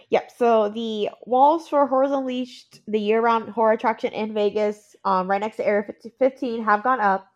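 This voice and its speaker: A woman speaks at a moderate pace in a fairly high voice. It is an unremarkable speaking voice. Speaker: podcast host. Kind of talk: casual chat. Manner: excitable.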